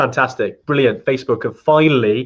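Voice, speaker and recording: At a fairly quick pace, a man with a Welsh accent speaks at medium pitch with ordinary pitch variation. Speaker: trekking company host. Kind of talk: live stream Q&A chat. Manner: fast; hesitant, many fillers.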